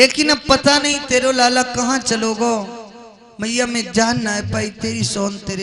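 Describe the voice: This is plain reading aloud, and the pitch rises and falls in an ordinary way.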